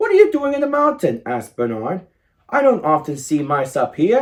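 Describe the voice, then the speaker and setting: A man puts on a high-pitched character voice with very wide pitch swings. His pace is moderate. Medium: read story.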